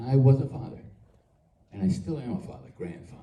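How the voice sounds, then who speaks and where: At a moderate pace, a man with a medium pitch and a dark, mellow tone sounds somewhat breathy, with audible room echo. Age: 80s+. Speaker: actor at a fan convention panel. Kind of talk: panel Q&A remarks. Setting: convention stage with audience.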